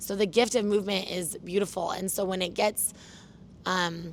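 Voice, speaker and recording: A woman speaks loudly at a medium pitch with fairly even intonation. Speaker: fitness trainer. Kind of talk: casual interview. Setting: gym turf.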